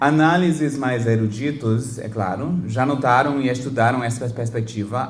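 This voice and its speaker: A man with a non-native accent speaks at a fairly slow pace and medium pitch, with ordinary pitch variation. There is audible room echo and noticeable background noise. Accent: foreign accent in Portuguese. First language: English (speaking Portuguese). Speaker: professor. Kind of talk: lecture. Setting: lecture hall with audience. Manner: halting, with self-corrections and fillers.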